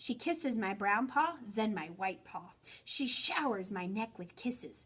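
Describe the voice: The text is plain reading aloud. Nothing more is added to the delivery.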